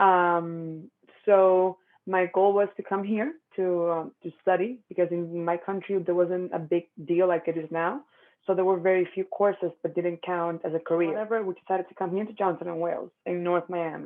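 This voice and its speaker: A woman's fairly low voice in a Spanish accent, with fairly even intonation and a moderate pace. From Dominican Republic. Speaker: pastry business owner. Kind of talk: interview.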